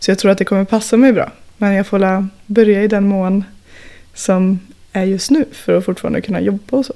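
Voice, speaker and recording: A woman's normal speaking voice, medium in pitch, at a fairly quick pace with fairly even intonation. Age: 20s. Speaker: industrial worker and climber. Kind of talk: casual chat.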